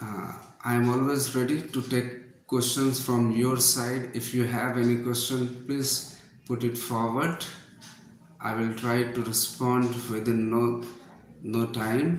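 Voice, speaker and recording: A man with an Indian accent speaks very slowly in a medium-pitched, monotone voice with flat intonation. Room echo is audible, along with noticeable background noise. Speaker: English teacher. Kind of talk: live online class. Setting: livestream.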